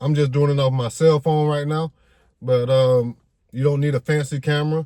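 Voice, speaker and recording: A man speaks at a fairly high pitch in a dark, mellow tone, somewhat breathy. His intonation is monotone and flat, with a dry, close sound and no echo. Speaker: YouTube content creator. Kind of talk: casual vlog monologue. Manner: fast, stumbling over words.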